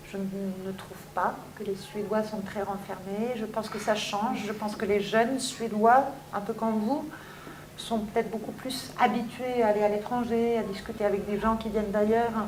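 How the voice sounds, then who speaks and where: With noticeable background noise and audible room echo, a woman talks at a moderate pace in a fairly high, monotone, flat voice. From France, Paris suburbs (Seine-Saint-Denis). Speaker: teacher. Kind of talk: interview.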